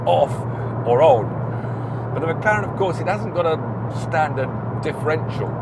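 A man speaks at a fairly slow pace with ordinary pitch variation, the sound dry with no echo and loud noise in the background. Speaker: car reviewer driving. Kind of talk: commentary. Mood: mildly exasperated, amused. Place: car. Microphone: lapel.

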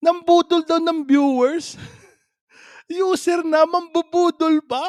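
A man speaks at an extremely high pitch and a very slow pace, with a dry, close sound and no echo. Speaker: reaction vlogger. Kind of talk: casual reaction commentary. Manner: animated, frequent laughter.

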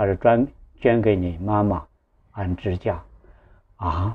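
Very slow and somewhat breathy, a man speaks with a fairly low pitch. His intonation stays fairly even. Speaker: online storyteller. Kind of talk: personal storytelling. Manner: halting, with repetitions and fillers. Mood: earnest, moved. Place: home room. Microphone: lapel.

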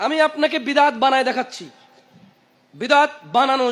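A man's voice pitched extremely high. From Saudi Arabia, then Bangladesh from age 20. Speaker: Islamic preacher. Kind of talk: sermon.

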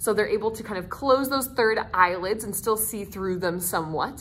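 Her pitch rises and falls in an ordinary way as the woman talks. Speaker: nature center educator. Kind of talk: educational talk. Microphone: phone near.

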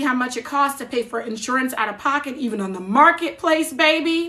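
A woman with an American accent projects a raised, high-pitched voice with a bright, sharp tone, moving at a fairly quick pace with ordinary pitch variation. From New Jersey. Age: 40s. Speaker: social media creator. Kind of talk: casual livestream talk. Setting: TikTok livestream. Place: home room. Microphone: phone near.

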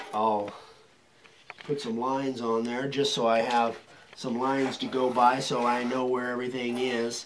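Over light background noise, a man mumbles at a moderate pace in a monotone, flat intonation. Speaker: sign carving craftsman. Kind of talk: tutorial. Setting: workshop. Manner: mumbling; quiet. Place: workshop.

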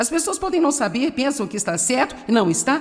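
A woman at a fairly quick pace, her pitch swinging very widely, with music in the background. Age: old. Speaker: Bible teacher. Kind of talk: sermon.

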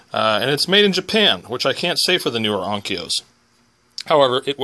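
A man is speaking over light background noise. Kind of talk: tutorial. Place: workshop. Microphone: phone near.

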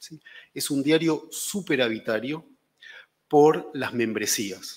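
A man's voice with ordinary pitch variation. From Argentina. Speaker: newspaper editor. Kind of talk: panel discussion. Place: hall. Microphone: podium.

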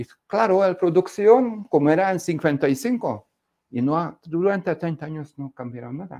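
A man with a Hungarian accent, high-pitched and dark, mellow in tone, fairly slow, with big swings in loudness against a quiet background. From Hungary. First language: Hungarian (speaking Spanish). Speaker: economics speaker; speaker. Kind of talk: lecture. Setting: stage with audience. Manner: halting. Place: studio. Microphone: lapel.

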